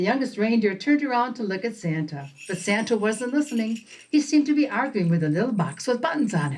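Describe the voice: The delivery is plain reading aloud. Its intonation moves in a lively way.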